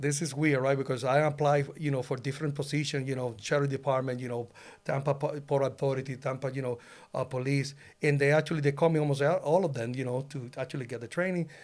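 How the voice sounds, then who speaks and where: Speaking very fast in a monotone, flat delivery, a man with a Puerto Rican accent is heard on a very clean recording with a silent background. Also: fairly high pitch for a man. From Puerto Rico. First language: Spanish. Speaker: loan officer, former police officer. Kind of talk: casual interview. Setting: podcast studio. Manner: halting, many fillers.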